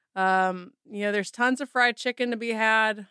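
A woman's bright, sharp voice at a moderate pace with ordinary pitch variation, dry and close with no echo, on a very clean recording with a silent background. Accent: Southern US. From Mississippi. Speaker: photographer and author. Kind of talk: interview.

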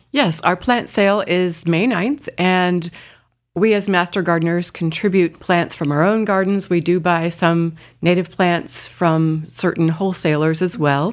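A woman with an American accent speaks at a fairly slow pace in a fairly low pitch, with ordinary pitch variation and very even loudness. Hers is an unremarkable speaking voice, captured in a very clean recording with a silent background. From Indiana. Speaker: master gardener association treasurer. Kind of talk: radio interview. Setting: studio.

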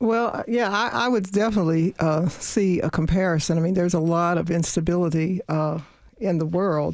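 Speech comes at a fairly quick pace in a Southern US accent, with very even loudness. The recording is very clean, with a silent background. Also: woman, fairly low pitch for a woman, ordinary pitch variation. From US South. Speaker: lawyer. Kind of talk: radio interview. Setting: studio. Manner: laughs often.

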